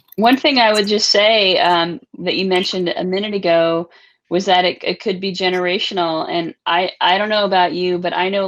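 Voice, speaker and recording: A woman's unremarkable speaking voice at a medium pitch, fairly even in intonation, at a moderate pace against a quiet background. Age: 40s. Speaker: moderator. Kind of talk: casual chat.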